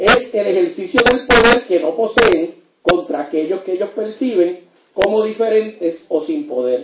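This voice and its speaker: At a fairly slow pace, a man speaks with high pitch and very wide pitch swings. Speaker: criminologist and lecturer. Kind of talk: lecture.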